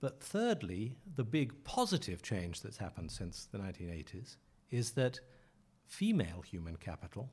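With a dark, mellow tone, this man talks at a moderate speed. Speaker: journalist and author. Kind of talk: interview.

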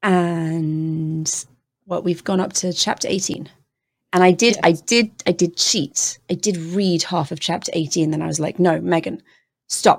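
On a very clean recording with a silent background, a woman with a British accent speaks at a fairly low pitch with fairly even intonation. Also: fairly slow pace. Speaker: podcast host. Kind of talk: casual chat.

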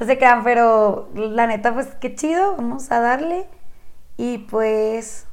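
A woman talks at a very slow pace. Her pitch is high, with ordinary pitch variation. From Chihuahua, northern Mexico. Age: 20s. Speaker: podcast co-host. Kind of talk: casual chat.

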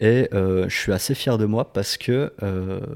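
Over a silent background in a very clean recording, a man speaks with a fairly low pitch and a dark, mellow tone. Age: 20s. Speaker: podcast guest, carer. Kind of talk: casual chat.

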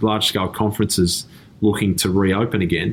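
With an Australian accent, a man speaks in a fairly low pitch and fairly even intonation. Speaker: tech company CEO. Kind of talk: interview. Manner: halting, many repeated words.

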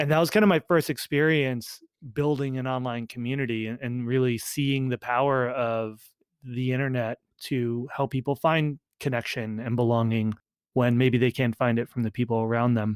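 The recording is a dry, close sound with no echo. A man at a medium pitch and moderate pace has fairly even intonation in a plain, everyday voice. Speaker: startup founder and community executive. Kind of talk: casual interview chat.

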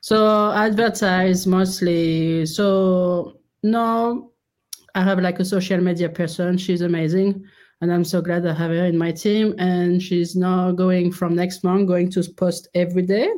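A woman with a French accent speaks fairly slowly at medium pitch, her intonation monotone and flat and her loudness very even. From France. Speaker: clothing store founder. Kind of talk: interview, casual chat. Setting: remote call.

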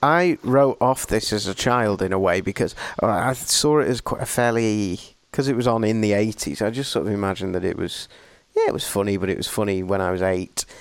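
This man has an English accent and a fairly low pitch. He talks at a fairly quick pace with ordinary pitch variation. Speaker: podcast host. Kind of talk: casual chat. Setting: video call.

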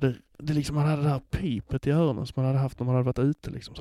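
A man's medium-pitched voice with fairly even intonation, in a dry, close sound with no echo. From Skåne, southern Sweden. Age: 40s. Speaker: podcast editor hosting an episode. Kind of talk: casual personal monologue.

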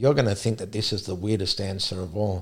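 A somewhat breathy man's voice, fairly low in pitch, at a very fast pace on a very clean recording with a silent background. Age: 50s. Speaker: sprint coach. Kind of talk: casual chat.

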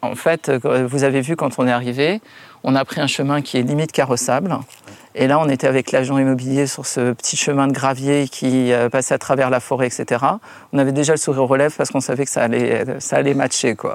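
A man speaks in a monotone with flat intonation. His pace is fairly quick. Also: medium pitch for a man. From Paris. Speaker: perfumer. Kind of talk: interview. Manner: halting.

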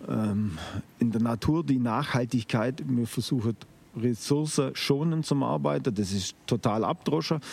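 The delivery is fairly slow, with very even loudness throughout. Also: man, medium pitch for a man. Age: 50s. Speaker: organic farmer. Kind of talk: interview. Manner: hesitant, with filler sounds.

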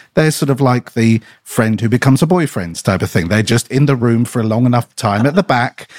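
A man with an unremarkable speaking voice talks at a fairly quick pace and medium pitch, with lively intonation and a dry, close sound with no echo. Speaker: podcast co-host. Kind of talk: casual chat.

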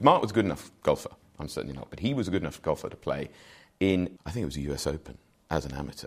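A man's very deep, low voice with vocal fry, very wide pitch swings and big swings in loudness, at a very fast pace. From English Midlands (Wolverhampton, Shropshire). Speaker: golf executive. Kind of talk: interview conversation. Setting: hotel in London.

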